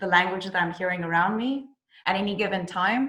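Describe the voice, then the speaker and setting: With a South African accent, a woman talks at a moderate pace in a medium pitch with a bright, sharp tone, and audible room echo surrounds her voice. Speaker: actress. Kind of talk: interview. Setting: video call.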